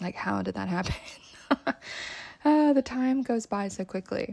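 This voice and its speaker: A woman is speaking. She has a Southern California accent. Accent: valley girl. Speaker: podcast host, spiritual teacher. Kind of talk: casual podcast talk. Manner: casual, mellow.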